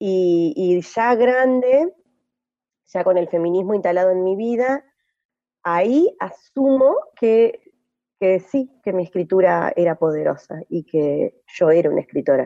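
In a dry, close sound with no echo, a woman speaks at a fairly slow pace with a medium pitch, lively intonation and a dark, mellow tone. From Argentina, Entre Ríos (Gualeguay). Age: 40s. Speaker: poet and activist. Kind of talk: interview. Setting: radio studio. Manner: halting, with many repetitions and fillers.

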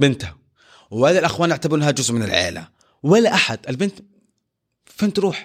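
The delivery has vocal fry and very wide pitch swings, moving at a fairly quick pace broken by long, frequent pauses. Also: man, fairly high pitch for a man. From Saudi Arabia, Jeddah. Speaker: former orphanage resident. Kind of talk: personal testimony in casual interview.

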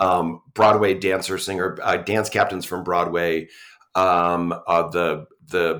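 A man with an American accent, a very deep, low pitch and a bright, sharp tone, in a monotone, flat delivery at a fairly slow pace, on a very clean recording with a silent background. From New York. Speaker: university theater professor. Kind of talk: interview.

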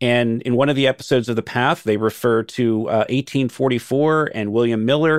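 At a fairly quick pace and with hardly any pauses, a man with an American accent talks in an unremarkable speaking voice at a medium pitch, his intonation fairly even. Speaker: former cult member and whistleblower. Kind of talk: interview.

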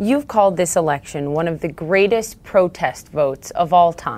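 A plain, everyday voice from a woman, fairly low in pitch, with lively intonation at a moderate pace. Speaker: interviewer. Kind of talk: formal interview.

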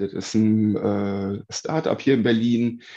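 Against a quiet background, a man speaks at a very slow pace. His voice sits at a medium pitch with a dark, mellow tone. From Uckermark, Brandenburg, Germany. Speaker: daycare cook. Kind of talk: interview. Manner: halting, many fillers.

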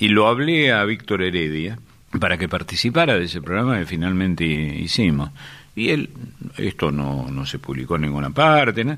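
This man has a very deep, low voice with vocal fry and a bright, sharp tone. His pitch swings very widely at a moderate pace. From Córdoba city, Argentina. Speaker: radio producer and presenter. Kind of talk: archive radio interview.

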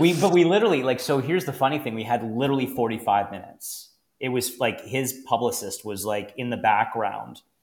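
With an unremarkable speaking voice and a Canadian accent, a man of medium pitch talks at a fairly quick pace with lively intonation and hardly any pauses. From Canada, Niagara region, Ontario. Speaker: financial planner and podcast host. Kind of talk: casual chat.

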